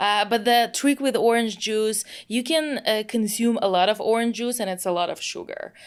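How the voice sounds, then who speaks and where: A woman with a Russian accent, fairly high in pitch with ordinary variation, at a moderate pace with hardly any pauses, over noticeable background noise. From Russia, Moscow. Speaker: product manager. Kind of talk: casual interview. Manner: animated.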